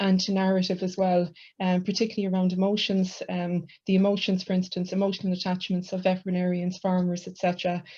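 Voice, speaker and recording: In a quiet background, a woman with an Irish accent speaks at a very fast pace. Her medium-pitched voice has a dark, mellow tone and is somewhat breathy. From west of Ireland. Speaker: university lecturer, book co-editor. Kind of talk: academic book launch presentation. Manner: hesitant, many fillers.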